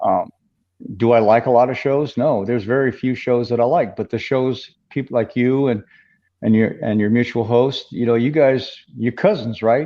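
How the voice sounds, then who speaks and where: A man talks at a moderate pace with a medium pitch. He has an ordinary speaking voice and fairly even intonation. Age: 50s. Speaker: MMA podcast host and veteran of the sport. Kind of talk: casual interview chat.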